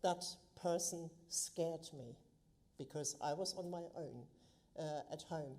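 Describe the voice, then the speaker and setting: Speaking with a German accent, a woman has a dark, mellow tone. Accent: German accent, lasting. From Germany. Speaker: local councillor. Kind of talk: council meeting speech. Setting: council chamber, live streamed.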